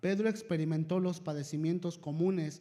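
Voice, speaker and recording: This man has a high pitch and a dark, mellow tone. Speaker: lay preacher. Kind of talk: sermon.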